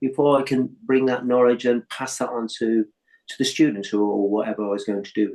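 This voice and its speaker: A man's medium-pitched voice at a fairly quick pace, fairly even in intonation but with big swings in loudness. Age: 60s. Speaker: yoga teacher and plasterer. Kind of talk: interview. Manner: halting.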